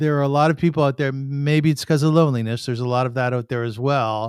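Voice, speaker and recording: A man with a plain, everyday voice speaks at a moderate pace in a fairly high pitch, his intonation fairly even, on a very clean recording with a silent background. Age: 60s. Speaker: podcast host. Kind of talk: podcast monologue intro.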